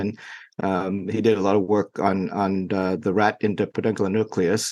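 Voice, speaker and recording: In a Vietnamese accent, a man with a fairly low pitch speaks in a monotone, flat intonation. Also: quiet background. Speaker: neurologist. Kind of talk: interview. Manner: halting, many fillers.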